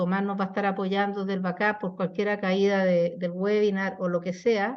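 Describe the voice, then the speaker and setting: A woman speaks at a medium pitch. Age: 60s. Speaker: psychologist hosting webinar talks. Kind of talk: webinar conversation. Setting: online webinar.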